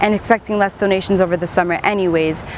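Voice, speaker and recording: A woman with an American accent talks at a very fast pace over noticeable background noise. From Miami, Florida, US. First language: English and Spanish (bilingual). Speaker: broadcast journalist / reporter. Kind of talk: TV news reporter delivery.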